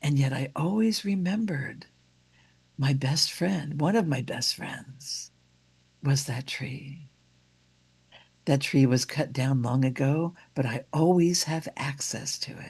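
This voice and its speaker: Against a quiet background, a somewhat breathy woman with a very deep, low pitch speaks at a very slow pace, using ordinary pitch variation and long, frequent pauses. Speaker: minister. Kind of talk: sermon.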